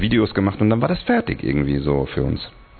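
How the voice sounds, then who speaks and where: Noticeable background noise runs beneath a man speaking at a fairly quick pace. His pitch is very deep and low. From Hungary. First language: Hungarian (speaking German). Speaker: singer and tattoo studio owner. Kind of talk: casual chat. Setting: tattoo studio.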